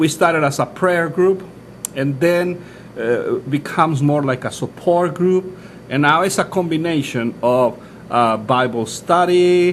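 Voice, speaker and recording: Speaking at a fairly slow pace, a man has high pitch and ordinary pitch variation. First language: Spanish. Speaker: pastor. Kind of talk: interview. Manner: halting, many fillers and restarts.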